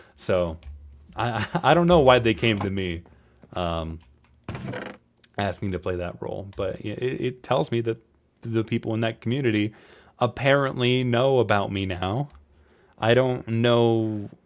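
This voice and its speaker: A man speaks at a fairly slow pace with ordinary pitch variation. He leaves long, frequent pauses. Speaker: podcaster and voice actor. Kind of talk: casual solo podcast talk. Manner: halting, many repetitions and fillers.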